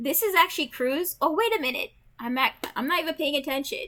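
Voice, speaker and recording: On a very clean recording with a silent background, a woman speaks at a moderate pace in a raised, projected voice with a bright, sharp tone. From Jamaica. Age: 30s. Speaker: gaming streamer. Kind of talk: casual gameplay chat. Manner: rambling, many fillers.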